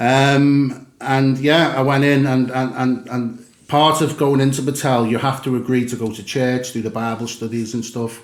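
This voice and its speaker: A man at a medium pitch speaks at a moderate pace with hardly any pauses and a monotone, flat intonation. There is audible room echo. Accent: Liverpool. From England, Liverpool. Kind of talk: podcast interview, personal testimony. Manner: hesitant, many fillers.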